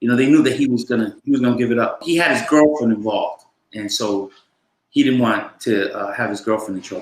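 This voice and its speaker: He has an American accent. This man's delivery is very fast. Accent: New York with a splash of Boston. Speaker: former police officer turned actor and drug counselor. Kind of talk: interview.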